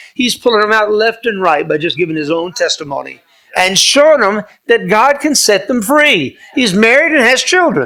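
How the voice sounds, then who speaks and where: The voice is raised and projected, bright and sharp in tone, animated, with very wide pitch swings at a moderate pace. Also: man, high pitch for a man. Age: 70s. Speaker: pastor and conservative activist. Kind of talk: speech to club audience with Q&A. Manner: animated, preacherly.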